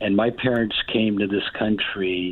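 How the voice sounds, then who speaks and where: Very slow speech from a man at a fairly low pitch. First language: Spanish. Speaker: caller. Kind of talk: phone call-in opinion. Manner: halting.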